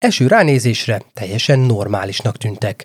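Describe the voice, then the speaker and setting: The recording has a dry, close sound with no echo. A man speaks fairly slowly at a medium pitch, somewhat breathy. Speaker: true crime podcast host. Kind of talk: scripted narration.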